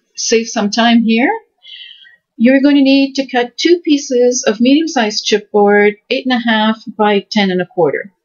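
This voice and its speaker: A woman at a fairly slow pace, fairly high in pitch, with lively intonation. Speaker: crafting video creator. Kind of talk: tutorial.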